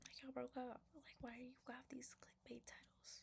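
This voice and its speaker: A soft-spoken man with an extremely high pitch talks in a relaxed tone at a moderate pace. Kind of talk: casual commentary while reading Reddit stories. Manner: soft-spoken, relaxed.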